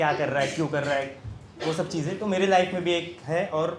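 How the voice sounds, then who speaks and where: With ordinary pitch variation, a man talks as noticeable noise carries in the background. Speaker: poet. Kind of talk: casual talk to live audience.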